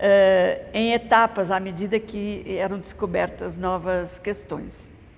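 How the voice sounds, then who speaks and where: A woman's medium-pitched voice at a very slow pace, with monotone, flat intonation. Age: 70s. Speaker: mosaic restorer. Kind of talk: interview testimony. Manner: hesitant, with filler sounds.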